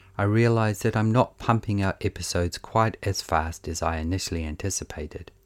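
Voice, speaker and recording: A man with a New Zealand accent speaks at a fairly quick pace and fairly low pitch, with hardly any pauses. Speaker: podcast host. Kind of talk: scripted narration. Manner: monotone.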